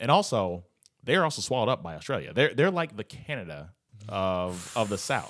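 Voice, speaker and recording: A man at a fairly quick pace and a fairly low pitch with very wide pitch swings, on a very clean recording with a silent background. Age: 30s. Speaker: podcast host. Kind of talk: casual chat.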